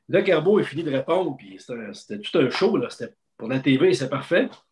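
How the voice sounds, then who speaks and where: A man with a Quebec accent speaks at a high pitch with very wide pitch swings over light background noise. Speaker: sports journalist. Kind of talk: casual chat; interview answer. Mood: animated storytelling a lot. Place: home room. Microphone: video call.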